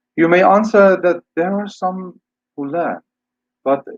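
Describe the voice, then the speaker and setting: A man with an Iranian accent at a fairly slow pace, in a dry, close sound with no echo. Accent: Iranian (Persian). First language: Persian. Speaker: English teacher and scholar. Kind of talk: lecture. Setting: webinar video call.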